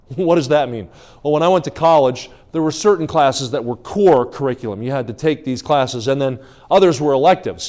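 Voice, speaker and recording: Speaking at a very fast pace, a man uses a fairly high pitch and an American accent. His pitch variation is ordinary. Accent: New Jersey accent largely shed. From New Jersey. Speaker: evangelist preacher. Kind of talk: sermon. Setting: church revival service.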